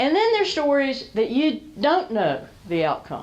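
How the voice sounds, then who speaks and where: A woman with an American accent at a moderate pace, with very wide pitch swings, audible room echo and noticeable background noise. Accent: Southern, held back during the day. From US South. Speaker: storyteller and business speaker. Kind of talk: talk to a small business audience. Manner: conversational.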